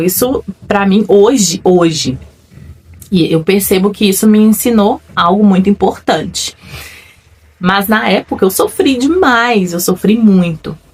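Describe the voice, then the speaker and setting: Her intonation lively and her pitch fairly high, a woman speaks at a fairly slow pace. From Brazil, another state than where she lives. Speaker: faith-based personal development vlogger. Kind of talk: personal testimony. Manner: reflective, conversational.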